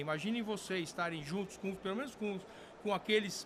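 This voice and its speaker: Noticeable background noise sits behind the voice. A man talks at a high pitch and a fairly quick pace. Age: 60s. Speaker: firearms industry executive and former sport shooter. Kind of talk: interview podcast. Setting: recorded at a trade event. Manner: hesitant, many fillers.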